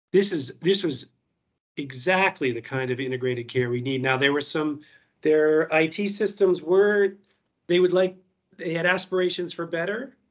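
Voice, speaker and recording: This speech carries an American accent. It moves moderately. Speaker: health service digital leader. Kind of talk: conference talk. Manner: halting.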